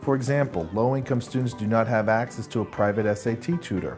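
Over music in the background, a man speaks at a fairly quick pace and a medium pitch. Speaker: executive director of an education nonprofit. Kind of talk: explainer video narration.

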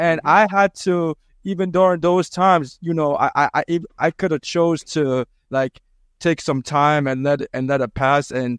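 A man with an American accent, fairly high in pitch, at a moderate pace with ordinary pitch variation and long, frequent pauses, in a dry sound with no echo against a quiet background. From Boston, US. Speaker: pharmacist and sickle cell educator. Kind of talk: casual chat. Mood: earnest, empathetic. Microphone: handheld.

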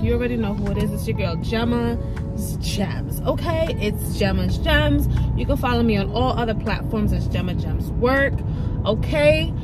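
A woman's dry voice with no echo, set against clear music in the background. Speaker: vlogger. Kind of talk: casual vlog chat. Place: car. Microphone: phone near.

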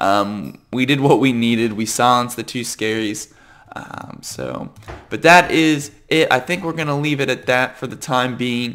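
A man speaks at a fairly slow pace with a bright, sharp tone at medium pitch. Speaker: gaming youtuber. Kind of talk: gameplay commentary. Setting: at home computer. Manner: casual, hesitant with many fillers.

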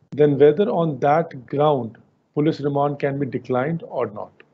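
Somewhat breathy, a man with an Indian accent speaks in a fairly high pitch with fairly even intonation. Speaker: webinar host. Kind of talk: webinar moderation. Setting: video call.

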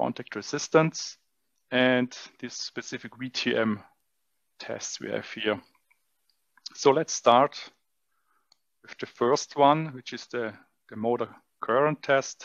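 A man speaks at a very slow pace with fairly even intonation and long, frequent pauses. The sound is dry, with no echo. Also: quiet background. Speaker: test equipment demonstrator. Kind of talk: tutorial. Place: hall. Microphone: headset.

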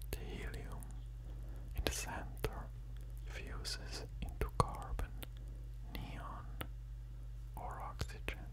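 A very deep, low male voice, flat and monotone, at a very slow pace with long, frequent pauses over noticeable background noise. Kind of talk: educational narration. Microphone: studio mic.

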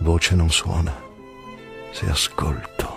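Music plays in the background. Over it, a man speaks at a very deep, low pitch. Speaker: stage actor. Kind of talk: poetry reading. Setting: over background music.

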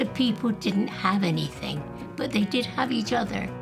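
A woman's voice over clear background music. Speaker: interviewee telling life story. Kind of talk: interview answer. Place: home room. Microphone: lapel.

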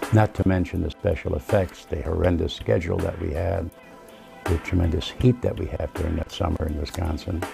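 Clear music plays in the background. Over it, a man talks in a very deep, low voice. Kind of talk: interview answer. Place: home room. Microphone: lapel.

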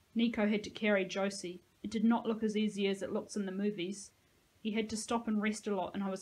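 Intonation holds fairly even. Someone reads aloud in a natural voice.

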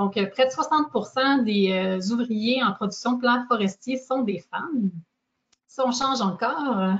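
This woman's pitch is fairly high, with ordinary variation. She talks at a very slow pace, her loudness very even. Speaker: workforce organization representative. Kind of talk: presentation. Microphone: video call.

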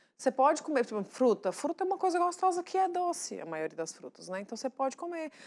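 A woman rushes along at a very fast pace with hardly any pauses, her high voice making very wide pitch swings. Her loudness also swings a lot. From Brazil, northern Minas Gerais. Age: 30s. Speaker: TV show guest, mother and presenter-to-be; TV guest, presenter. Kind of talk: casual talk-show chat. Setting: TV studio. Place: studio. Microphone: lapel.

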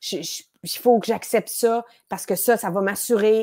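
The background is quiet as a woman speaks at a fairly slow pace. Her tone is dark and mellow. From Quebec. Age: 40s. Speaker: improv actress. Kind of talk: casual interview chat. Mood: lively, laughing, animated. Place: home room. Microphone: earbuds.

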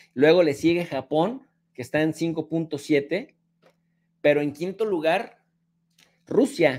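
A man with a high pitch, an animated tone and ordinary pitch variation. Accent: Mexican. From Mexico. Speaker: political commentator. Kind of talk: angry rant. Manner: sarcastic. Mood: argumentative, mocking. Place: home room.

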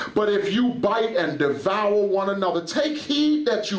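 With an animated tone and a high pitch, a man talks fairly slowly in a room with audible echo. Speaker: preacher. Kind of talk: sermon. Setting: church. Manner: animated, fervent preaching. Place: church. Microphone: headset.

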